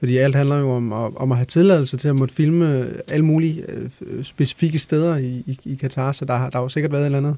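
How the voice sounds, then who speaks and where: A man talks at a very fast pace with fairly even intonation. His pitch is fairly high, and his tone is dark and mellow. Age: 30s. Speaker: songwriter and musician. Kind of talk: casual chat.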